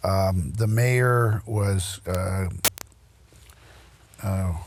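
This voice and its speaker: Somewhat breathy and very deep, the man's low voice shows ordinary pitch variation amid audible room echo. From US Midwest, Royal Oak, Michigan. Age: 80s+. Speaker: local historian and lecturer. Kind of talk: lecture. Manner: halting, many fillers.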